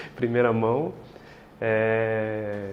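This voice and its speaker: With a São Paulo countryside accent, a man of medium pitch speaks in a relaxed tone through audible room echo and noticeable background noise. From interior of São Paulo state, near Minas Gerais. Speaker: legal tech executive, co-host. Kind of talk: casual interview chat. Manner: relaxed, hesitant with fillers.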